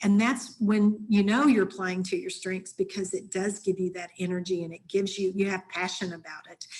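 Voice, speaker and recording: A woman's somewhat breathy, medium-pitched voice with fairly even intonation, big swings in loudness, a moderate pace and hardly any pauses. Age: 60s. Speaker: leadership coach and consultant. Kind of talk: webinar presentation.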